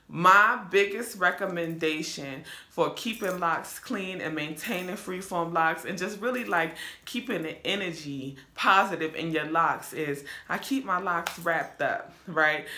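At a fairly slow pace, a woman with a fairly low pitch and ordinary pitch variation speaks over noticeable background noise. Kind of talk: casual hair tutorial talk to camera. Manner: relaxed, conversational.

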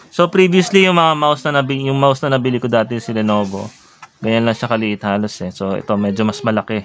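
Lively intonation marks a man's speech. He goes at a very fast pace. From Philippines. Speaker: vlogger. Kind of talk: product unboxing and review. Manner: halting, many fillers. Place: home room. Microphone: phone near.

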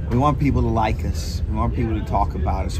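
A man keeps a moderate pace while loud noise sounds in the background. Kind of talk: interview answer. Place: garage. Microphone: handheld.

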